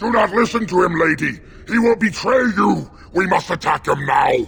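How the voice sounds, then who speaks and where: The speaker growls in a put-on character voice at a moderate pace. Light background noise can be heard. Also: man, high pitch for a man. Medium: video game. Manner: grave, heavy, loyal to his lady.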